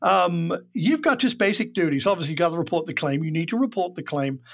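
A man speaks at a high pitch with very wide pitch swings. The recording is very clean, with a silent background. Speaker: insurance industry expert. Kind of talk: casual interview.

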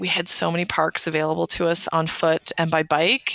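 In a dry, close sound with no echo and a quiet background, a woman with a Canadian accent talks at a moderate pace in a monotone, flat delivery at a fairly low pitch. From Canada. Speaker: writer. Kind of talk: casual chat.

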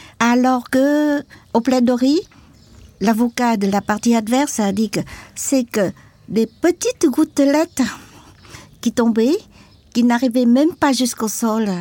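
Fairly slow and fairly high-pitched, a woman's dark, mellow voice comes through dry and close with no echo in a very clean recording with a silent background. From Vietnam, Mekong delta and Saigon. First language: Vietnamese (learned French early) (speaking French). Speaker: activist, former journalist and war veteran. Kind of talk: testimony. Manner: halting.

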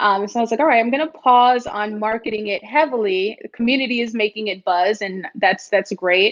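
With an American accent, a woman uses lively intonation in an unremarkable speaking voice pitched fairly high. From New York City, the Bronx. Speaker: startup founder. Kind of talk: interview.

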